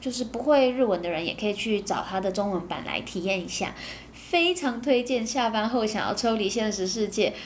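Audible room echo surrounds a somewhat breathy voice speaking at a moderate pace with ordinary pitch variation. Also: woman. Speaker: podcast host. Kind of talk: casual monologue, anime review. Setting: home recording.

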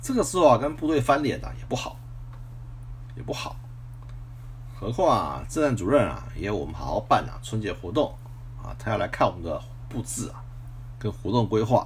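A man with a very deep, low voice and vocal fry, very wide pitch swings, big shifts in loudness, a fairly quick pace and long, frequent pauses. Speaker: retired military officer podcaster. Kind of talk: personal storytelling monologue. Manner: frequent filler particles and repetition.

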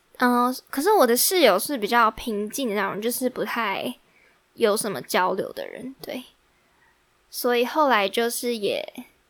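A woman speaks in a high voice. The recording is very clean, with a silent background. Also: ordinary pitch variation. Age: 20s. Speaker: podcast host, university student. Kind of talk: casual solo chat. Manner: animated.

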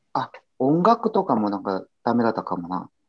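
The speaker has a Korean accent. The pace is fairly slow. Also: man. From South Korea. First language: Korean (speaking Japanese). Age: 30s. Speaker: guest who studied Japanese. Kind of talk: casual chat.

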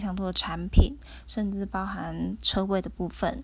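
Moderate-paced speech from a woman with a Taiwanese accent. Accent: Taiwanese Mandarin. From Taiwan (Tainan). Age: 20s. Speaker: podcaster, architecture firm employee. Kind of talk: casual solo monologue. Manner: halting, with fillers.

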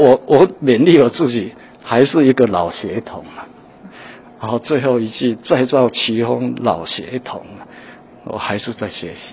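A man speaks at a fairly slow pace with ordinary pitch variation. His loudness swings in big ways. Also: medium pitch for a man. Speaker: painter. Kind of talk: interview; gallery tour interview. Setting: art museum gallery. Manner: halting with many fillers.

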